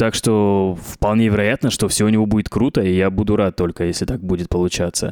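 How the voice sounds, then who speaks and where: A man has an ordinary speaking voice, fairly low in pitch, with fairly even intonation and very even loudness, at a fairly quick pace with hardly any pauses. The very clean recording has a silent background and a dry, close sound with no echo. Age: 30s. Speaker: podcast host. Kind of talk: casual chat.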